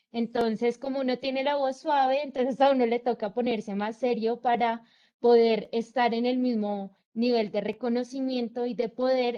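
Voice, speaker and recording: A woman's fairly high voice at a fairly slow pace, with fairly even intonation. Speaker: student. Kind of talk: class discussion.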